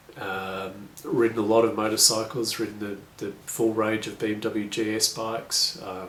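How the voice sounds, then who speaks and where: A man's flat, monotone voice in an Australian accent, with audible room echo and noticeable background noise. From Australia, rural. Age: 40s. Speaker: adventure motorcycle tour operator. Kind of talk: video application / self-introduction. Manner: casual, with frequent fillers.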